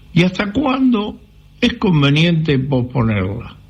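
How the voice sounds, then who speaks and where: With noticeable background noise behind him, a man speaks very slowly at a fairly high pitch, his pitch swinging very widely. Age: 80s+. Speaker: caller. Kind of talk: recorded listener question.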